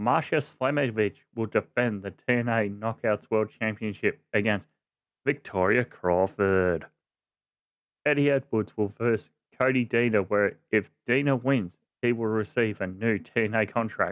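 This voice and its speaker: With an Australian accent, a man speaks at a medium pitch. His pace is fairly slow. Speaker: wrestling podcast host. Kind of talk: casual podcast talk.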